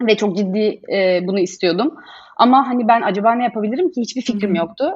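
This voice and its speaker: Lively intonation and a moderate pace mark an unremarkable speaking voice. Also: woman. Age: 30s. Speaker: business founder and designer. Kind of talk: casual interview. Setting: video call.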